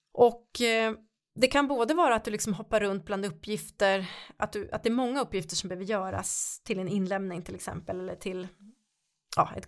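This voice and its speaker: A woman's medium-pitched voice shows ordinary pitch variation and moves at a very fast pace. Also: very clean recording, silent background. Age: 50s. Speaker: podcast host and coach. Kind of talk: workshop-style podcast talk.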